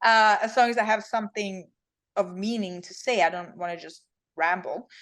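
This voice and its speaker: Speaking at a moderate pace in a fairly high pitch, a woman with a Swedish accent shows big swings in loudness and long, frequent pauses against a quiet background. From Sweden. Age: 30s. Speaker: fitness champion. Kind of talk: interview.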